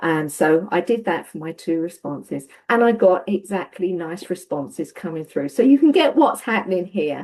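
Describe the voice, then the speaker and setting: In a Cockney accent, a woman speaks at a moderate pace with hardly any pauses. Her fairly low voice has lively intonation and big swings in loudness. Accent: Estuary, Cockney. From Essex, England. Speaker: webinar participant. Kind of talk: webinar discussion.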